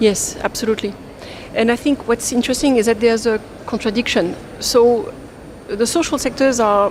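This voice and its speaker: A woman's fairly high voice in a French accent, fairly quick and fairly even in intonation, over noticeable background noise. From France. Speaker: international development finance expert. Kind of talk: panel discussion.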